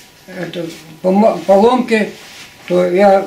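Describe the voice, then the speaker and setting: High-pitched male voice in a room with audible echo. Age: 80s+. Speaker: retired agricultural machinery engineer. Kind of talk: interview answer. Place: home room. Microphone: camera far.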